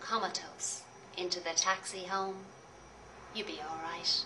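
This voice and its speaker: A woman's fairly slow, monotone, flat delivery over noticeable background noise. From Ireland; Dublin. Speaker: poet. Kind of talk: poetry reading.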